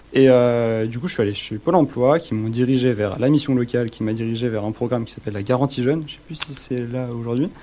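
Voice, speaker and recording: A man's very fast, medium-pitched speech with hardly any pauses and big swings in loudness over noticeable background noise. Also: ordinary pitch variation. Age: 20s. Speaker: phone repair technician. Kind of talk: radio interview.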